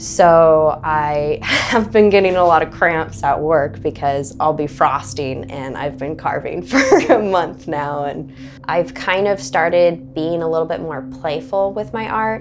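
Light background noise sits under speech delivered at a fairly slow pace. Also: woman, very deep, low pitch for a woman. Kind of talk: interview answer. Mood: cheerful, laughing often. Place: home room. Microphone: lapel.

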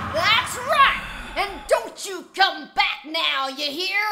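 Over noticeable background noise, a female-sounding voice does a put-on character voice at an extremely high pitch for a woman, going at a very slow pace. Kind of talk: gameplay commentary.

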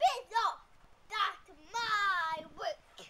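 A woman puts on a character voice at an extremely high pitch. It comes out shrill and croaky, with growling.

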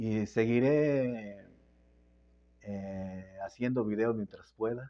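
A man's dark, mellow voice, very slow, with fairly even intonation. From Querétaro, Mexico; Mexico. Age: 70s. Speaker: political youtuber, former local official; political vlogger. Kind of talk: casual monologue to phone camera. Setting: phone camera at home. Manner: halting, many repetitions. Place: home room. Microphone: phone mic; lapel.

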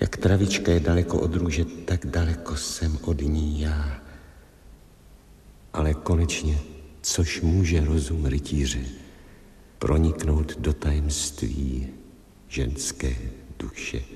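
In a put-on character voice, a man speaks hoarsely at a very deep, low pitch with fairly even intonation, long and frequent pauses, and a slight echo. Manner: sorrowful, earnest.

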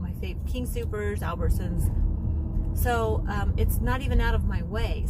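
Loud background noise fills the recording. A woman speaks over it at a moderate pace. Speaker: lifestyle vlogger. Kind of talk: casual vlog chat. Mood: relaxed, chatty. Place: car. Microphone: phone near.

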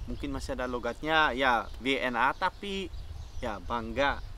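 Bright, sharp tone from a man at a fairly slow pace, in a dry sound with no echo over light background noise. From Netherlands. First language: Dutch (speaking Indonesian). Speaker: podcast co-host; podcast guest. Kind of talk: casual chat. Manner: halting. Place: garden.

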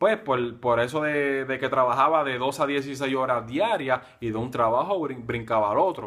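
A man speaks at medium pitch with hardly any pauses. His pitch variation is ordinary, over a quiet background. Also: moderate pace. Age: 20s. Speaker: nurse and online marketer; online business blogger. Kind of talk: personal introduction video. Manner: halting. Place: home room. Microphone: phone near.

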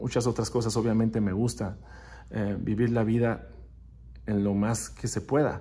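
A man speaks at a fairly slow pace in a fairly low, somewhat breathy voice with a dark, mellow tone, flat monotone intonation, and long, frequent pauses. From northern Mexico, Ciudad Juárez (border with El Paso); northern Mexico. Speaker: percussionist; interviewee. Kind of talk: recorded video interview answering questions. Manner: hesitant, with fillers. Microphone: phone near.

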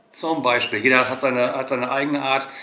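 A man with a strong German accent at a fairly quick pace, with audible room echo. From Germany. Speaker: travel vlogger. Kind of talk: casual chat; casual vlog chat. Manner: hesitant with many fillers. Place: home room.

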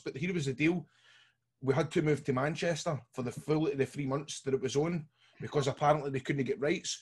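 Against a quiet background, a man talks at a fairly quick pace in a somewhat breathy voice with ordinary pitch variation. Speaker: podcast co-host. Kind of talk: casual podcast storytelling. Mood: jovial anecdote. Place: home room. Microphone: video call.

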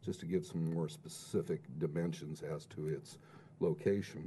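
Speaking at a moderate pace, a man with a very deep, low pitch and a dark, mellow tone shows vocal fry over light background noise. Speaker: planning consultant; presenter. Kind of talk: public hearing testimony. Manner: formal. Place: meeting room.

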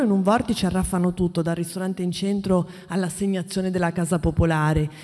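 A woman talks at a fairly quick pace in a dark, mellow tone. The background is quiet. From Friuli (Carnia area); Friuli. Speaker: investigative journalist. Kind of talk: panel talk. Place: hall. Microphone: podium.

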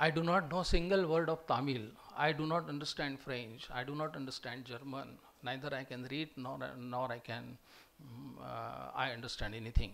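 The speaker has a Marathi Indian accent and vocal fry, with ordinary pitch variation at a moderate pace. Loudness swings in a big way. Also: man. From Maharashtra, India. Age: 60s. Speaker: retired professor. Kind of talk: lecture. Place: hall. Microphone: podium.

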